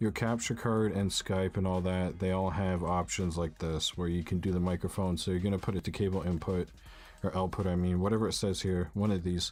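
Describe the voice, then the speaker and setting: A man with a very deep, low pitch talks fairly quickly in a flat monotone, his loudness very even throughout. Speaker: gaming YouTuber. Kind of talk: tutorial. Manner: casual, filler-heavy.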